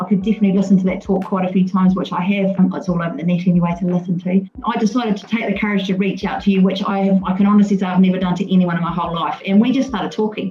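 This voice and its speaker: A woman talks at a very fast pace with hardly any pauses, using a medium pitch and fairly even intonation. Noticeable background noise runs underneath. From England, West Sussex. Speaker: mortgage and insurance adviser. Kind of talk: podcast interview.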